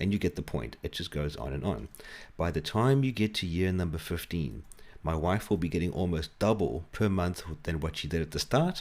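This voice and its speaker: Speaking in a South African accent at a moderate pace, a man with a very deep, low pitch and vocal fry uses lively intonation on a very clean recording with a silent background. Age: 40s. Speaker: financial advisor. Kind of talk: tutorial.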